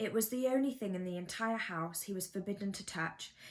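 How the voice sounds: Ordinary pitch variation runs through the natural reading voice.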